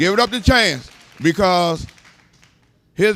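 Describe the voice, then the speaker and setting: A man with an American accent speaks in an animated tone on a very clean recording with a silent background. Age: 60s. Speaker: community activist. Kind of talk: casual interview chat.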